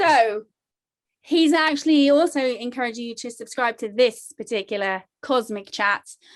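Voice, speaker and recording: In a British accent, a woman with a high voice talks at a moderate pace, her pitch varying in an ordinary way while her loudness swings widely. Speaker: meditation show host. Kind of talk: casual chat.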